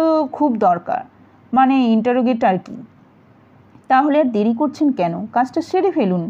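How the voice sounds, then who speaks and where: Lively intonation runs through this dark, mellow voice. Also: woman. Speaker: audiobook narrator. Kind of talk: detective novel reading. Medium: read story.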